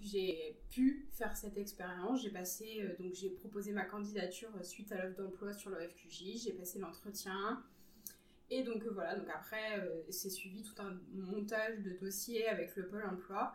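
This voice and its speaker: Female speaker with fairly even intonation, noticeable background noise and audible room echo. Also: medium pitch for a woman, fairly slow pace. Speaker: web designer intern. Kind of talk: interview. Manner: hesitant with fillers.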